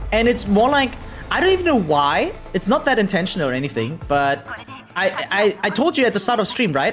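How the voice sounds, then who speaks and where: The pace is fairly quick. Music plays in the background. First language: German. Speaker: variety game streamer. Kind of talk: live stream chat while gaming. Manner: casual, hesitant with fillers.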